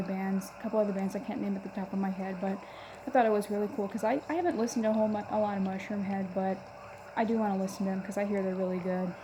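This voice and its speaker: A woman speaks very fast at a medium pitch in a monotone, flat delivery. Noticeable background noise runs behind her. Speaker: metal fan vlogger. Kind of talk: casual talk to camera. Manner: stuttering, hesitant.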